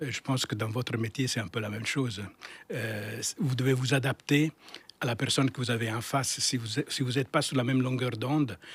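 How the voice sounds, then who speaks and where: A man at medium pitch with fairly even intonation and a fairly quick pace. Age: 60s. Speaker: architect, firm founder. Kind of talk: interview. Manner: halting, many repetitions and fillers.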